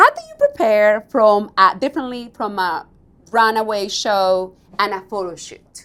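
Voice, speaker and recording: Talking with a strong non-native accent, a woman has a fairly high pitch and big swings in loudness. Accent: thick non-native English. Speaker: radio host. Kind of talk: interview.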